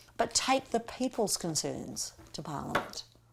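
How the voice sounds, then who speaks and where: The speaker has an Australian accent and vocal fry. The pitch swings very widely. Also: woman. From Australia, Melbourne. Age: 60s. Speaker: political candidate. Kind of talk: campaign interview monologue.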